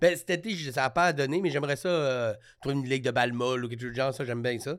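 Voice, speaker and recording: A man talks at a very fast pace. His voice is fairly high-pitched, with ordinary pitch variation. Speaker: comedian. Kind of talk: casual chat. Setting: studio.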